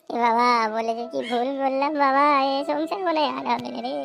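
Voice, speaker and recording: A woman puts on a cartoonish character voice pitched high. Clear background noise runs behind her. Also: fairly quick pace. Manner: giggly and coy.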